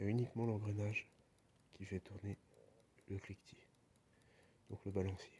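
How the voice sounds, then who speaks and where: Soft-spoken and somewhat breathy, a man talks at a moderate pace in a dark, mellow tone, his intonation monotone and flat, his loudness swinging widely, with long, frequent pauses. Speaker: DIY hobbyist restoring a clock. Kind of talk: casual tutorial voiceover. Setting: at home. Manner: halting, many hesitations.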